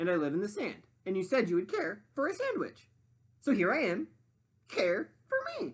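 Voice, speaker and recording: In a cackling put-on character voice, a man with a high pitch speaks at a moderate pace with long, frequent pauses. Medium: read story.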